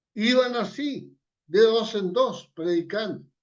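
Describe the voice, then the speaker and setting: This man's intonation is lively. He talks at a very slow pace. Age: 80s+. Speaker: evangelist. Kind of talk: sermon.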